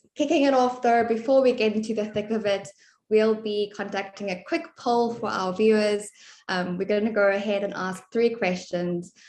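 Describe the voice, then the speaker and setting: Against a quiet background, a woman with a South African accent speaks at a moderate pace and a fairly high pitch, with ordinary pitch variation. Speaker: webinar moderator, content marketing manager. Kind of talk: webinar presentation. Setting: online webinar.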